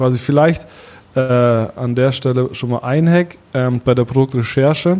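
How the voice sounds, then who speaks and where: A plain, everyday voice with fairly even intonation and a fairly slow pace. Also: man, medium pitch for a man. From Bavaria, Allgäu (Kaufbeuren). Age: 30s. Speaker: startup founder, e-commerce entrepreneur. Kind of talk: podcast interview.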